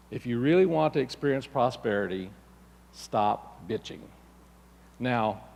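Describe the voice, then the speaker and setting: In a very clean recording with a silent background, a man speaks at a fairly slow pace with a medium pitch. His intonation is lively, and long, frequent pauses break it up. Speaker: minister giving a church talk. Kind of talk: sermon / spiritual lesson to a congregation.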